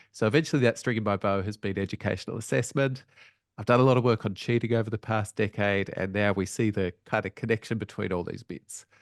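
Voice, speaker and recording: Over a quiet background with a dry, close sound and no echo, a man with an Australian accent speaks very fast at a fairly low pitch with ordinary pitch variation. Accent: Australian, rising inflection. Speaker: education researcher. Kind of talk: webinar presentation. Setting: online webinar. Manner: casual, conversational.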